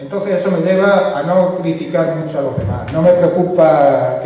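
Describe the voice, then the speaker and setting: Audible room echo and noticeable background noise around a man's speech. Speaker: author and speaker on anarchism. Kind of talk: public talk. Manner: fast.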